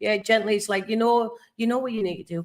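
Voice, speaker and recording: A woman is speaking. She has a Cumbrian accent. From Cumbria, northern England. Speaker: tarot and rune reader. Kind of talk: live stream card reading. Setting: YouTube live stream.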